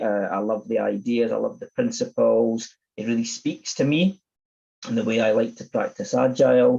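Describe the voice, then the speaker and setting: A man speaks with a Scottish accent. His pace is moderate. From Scotland, Edinburgh. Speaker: agile coach and conference speaker. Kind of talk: conference talk.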